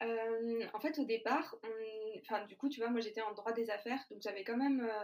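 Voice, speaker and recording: A woman talks at a moderate pace with a fairly high pitch. She has an ordinary speaking voice. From France, Lyon. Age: 20s. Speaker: food startup founder. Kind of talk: interview.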